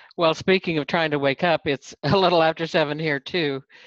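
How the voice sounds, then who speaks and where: A woman's very deep, low pitch with ordinary pitch variation, a dry sound with no echo, and a quiet background. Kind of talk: casual group chat introduction. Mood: cheerful, laughing, sleepy. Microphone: video call.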